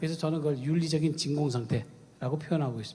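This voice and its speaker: A man races along at a very fast pace amid audible room echo. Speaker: ethics professor. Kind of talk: conference talk. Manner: halting, many fillers.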